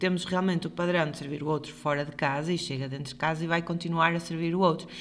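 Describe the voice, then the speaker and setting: A woman with a European Portuguese accent. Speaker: podcast co-host, health professional. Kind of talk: casual chat.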